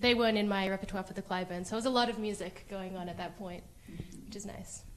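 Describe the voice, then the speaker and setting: A woman with an American accent talks very fast at a medium pitch with fairly even intonation. Her loudness swings a lot, and background noise is noticeable. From Australia, Sydney. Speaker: concert pianist. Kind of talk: interview. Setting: living room livestream.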